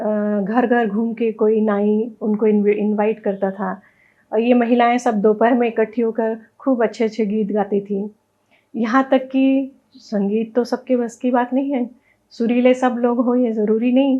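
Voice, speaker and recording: Here a woman's voice sits fairly high in pitch. Her intonation is monotone and flat. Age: 60s. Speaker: wedding sangeet dance expert. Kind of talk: interview.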